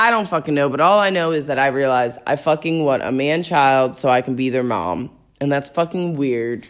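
On a very clean recording with a silent background, a woman with a very deep, low pitch speaks at a moderate pace in an animated tone, with hardly any pauses. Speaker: podcast host. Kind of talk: casual solo monologue. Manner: animated, casual, profane.

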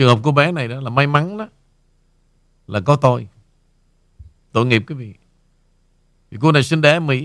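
Pausing long and often, a man speaks at a moderate pace and fairly high pitch, his intonation lively and his loudness swinging widely. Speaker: radio host. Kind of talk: casual chat.

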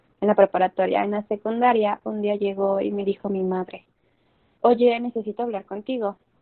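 A woman talks at a moderate pace and medium pitch, with fairly even intonation. She has an ordinary speaking voice. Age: 20s. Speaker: podcast guest. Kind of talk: interview.

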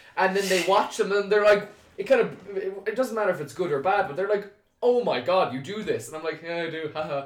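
A fairly quick pace in an Irish accent, with ordinary pitch variation. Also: man, high pitch for a man. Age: 20s. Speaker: video content creator. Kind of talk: casual chat.

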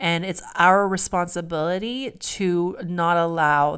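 The woman's voice is plain, everyday and fairly low in pitch, with fairly even intonation. The recording is very clean, the background silent. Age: 40s. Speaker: podcast co-host. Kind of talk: casual chat.

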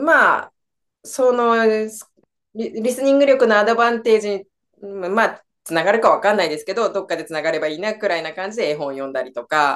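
This woman has a plain, everyday voice with a fairly high pitch and lively intonation. She talks at a fairly quick pace, with big swings in loudness. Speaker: English teacher and mother of three. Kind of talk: interview.

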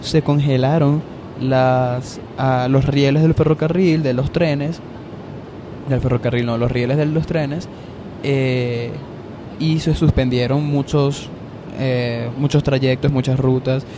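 Over noticeable background noise, a man with a Venezuelan accent talks at a very slow pace and medium pitch, monotone and flat, with long, frequent pauses. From Venezuela, Valencia. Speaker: podcaster. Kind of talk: casual monologue. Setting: on an airplane in flight.

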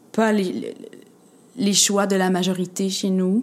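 A woman's voice, pitched in the middle of her range, unfolds very slowly. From Quebec, Montreal area, of Egyptian family. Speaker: playwright and actress. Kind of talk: casual interview.

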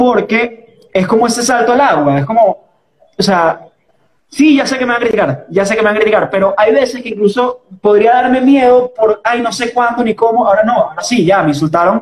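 In a Caracas Venezuelan accent, a man talks at a fairly quick pace with an extremely high pitch. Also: ordinary pitch variation. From Venezuela, Caracas. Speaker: podcast host. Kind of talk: casual chat.

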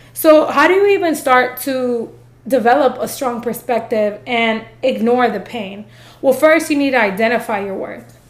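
Over audible room echo, a woman with a high pitch and animated tone speaks at a moderate pace, her loudness swinging widely. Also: ordinary pitch variation. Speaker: podcast host. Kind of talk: motivational monologue. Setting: filming video.

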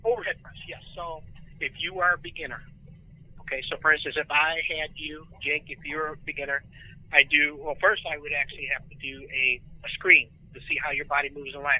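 Fairly quick and fairly even in intonation, a man's voice shows big swings in loudness. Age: 40s. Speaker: strength and fitness coach. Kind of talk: casual chat.

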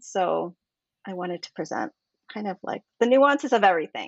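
A woman speaks at a moderate pace in an ordinary speaking voice, her intonation lively. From Canada. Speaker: novelist and activist. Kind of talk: interview.

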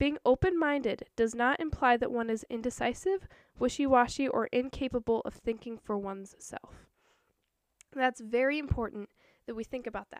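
Loudness swings widely in this dry, close recording with no echo, set against a quiet background, while pitch variation stays ordinary. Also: woman, high pitch for a woman, moderate pace. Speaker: podcast host and artist. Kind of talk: solo podcast monologue.

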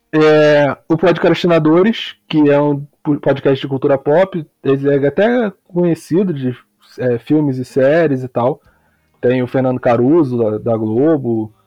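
A man with a Rio de Janeiro accent and a fairly high pitch. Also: ordinary pitch variation, fairly slow pace. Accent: Carioca Brazilian Portuguese. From Rio de Janeiro, West Zone (Campo Grande). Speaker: football podcaster, podcast listener. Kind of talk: casual chat.

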